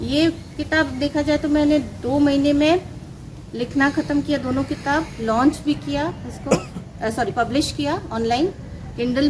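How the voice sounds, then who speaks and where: A high-pitched woman with a Bengali accent and ordinary pitch variation, over noticeable background noise. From Ranchi, Jharkhand, India. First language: Bengali (speaking Hindi). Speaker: author. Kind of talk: interview.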